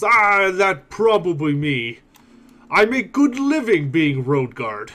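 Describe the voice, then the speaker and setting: A man puts on a character voice, high in pitch with very wide pitch swings. He goes at a fairly slow pace. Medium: actual play. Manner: broken grammar, slow and blunt.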